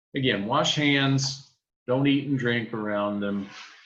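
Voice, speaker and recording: Speaking at a fairly slow pace with ordinary pitch variation, a man is heard with audible room echo. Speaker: poultry specialist. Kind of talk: lecture.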